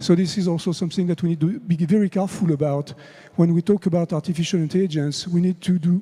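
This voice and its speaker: Speaking in a French accent at a fairly quick pace, a man has a high pitch, a dark, mellow tone and ordinary pitch variation. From France. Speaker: conference speaker on AI. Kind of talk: conference talk.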